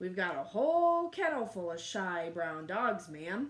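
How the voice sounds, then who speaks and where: A woman puts on a character voice at a medium pitch. Her pitch swings very widely as she speaks at a moderate pace. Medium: read story.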